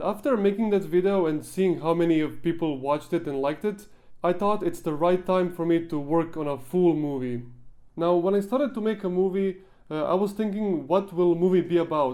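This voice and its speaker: A man with a non-native accent, high-pitched, dark and mellow in tone, at a fairly quick pace with ordinary pitch variation, over a quiet background. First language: not English. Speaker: gaming YouTuber and machinima filmmaker; video creator. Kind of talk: behind-the-scenes Q&A talk; casual vlog chat. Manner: halting with frequent fillers. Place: home room. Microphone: handheld.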